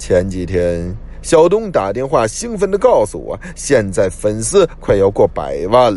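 An unforced reading voice carries the whole clip.

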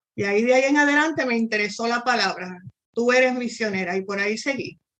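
A woman has an ordinary speaking voice with a fairly high pitch. She talks at a fairly quick pace. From Puerto Rico. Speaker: missionary. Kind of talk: interview testimony.

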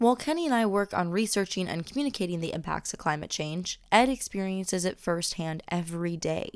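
In a very clean recording with a silent background, a woman with an American accent uses a normal speaking voice at a medium pitch, talking at a fairly quick pace with lively intonation. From Minnesota (Lake Elmo, Twin Cities area). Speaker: podcast host. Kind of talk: scripted narration.

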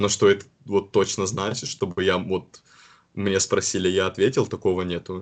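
This man talks at a moderate pace. His delivery is monotone, with flat intonation. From Karelia, northwest Russia. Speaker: university student. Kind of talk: casual interview.

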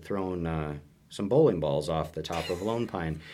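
A man keeps up a fairly quick pace in a normal speaking voice, his pitch varying in an ordinary way. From Minnesota, US Midwest. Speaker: state park ranger. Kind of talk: casual interview.

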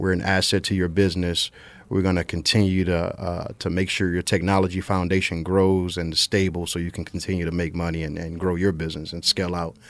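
A man with a Louisiana accent speaks at a very deep, low pitch in a monotone, flat intonation. He talks at a fairly quick pace with hardly any pauses, in a very clean recording with a silent background. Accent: Louisiana Southern US. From central Louisiana (Marksville). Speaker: IT business owner. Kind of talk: casual chat.

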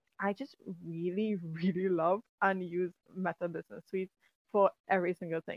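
A woman speaks in an animated tone at a moderate pace. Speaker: podcast host and writing coach. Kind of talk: solo podcast monologue.

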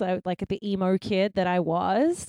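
The speaker has an Australian accent. The sound is dry and close, with no echo. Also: woman. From Melbourne, Australia. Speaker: guest. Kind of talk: casual chat.

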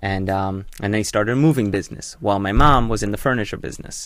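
A normal speaking voice from a man at a fairly low pitch and a fairly quick pace, on a very clean recording with a silent background. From born in Hull, England, raised in US by Israeli parents. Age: 20s. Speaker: young entrepreneur. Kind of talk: casual chat.

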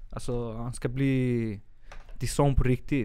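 A normal speaking voice from a man, medium in pitch, with fairly even intonation. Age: 20s. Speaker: art teacher student and artist, new podcast co-host. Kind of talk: casual chat. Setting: studio.

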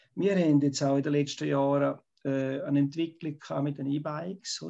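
The background is quiet as a man speaks at a moderate pace. His voice is fairly high in pitch, with a dark, mellow tone. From Switzerland, Graubünden. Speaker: local politician, retired teacher. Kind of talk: debate. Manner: halting.

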